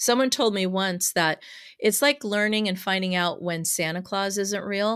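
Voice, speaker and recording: A woman's unremarkable speaking voice, pitched in the middle range, moderately paced, with ordinary pitch variation. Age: 50s. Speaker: hypnotherapist. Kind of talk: interview.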